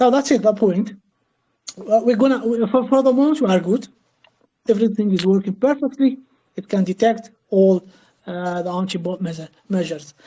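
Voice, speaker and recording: The voice has a dark, mellow tone and is somewhat breathy, with a non-native accent. Long, frequent pauses break up the speech. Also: woman, fairly high pitch for a woman, ordinary pitch variation, fairly quick pace. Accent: foreign. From Algeria. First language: not English. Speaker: crypto project team member. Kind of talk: Q&A interview. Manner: halting, many fillers.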